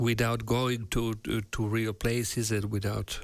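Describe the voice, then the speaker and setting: A man with a non-native accent speaks at a very slow pace with monotone, flat intonation. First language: not English. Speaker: virtual production artist and stream host. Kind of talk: live workshop stream. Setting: live stream video call. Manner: halting, many fillers.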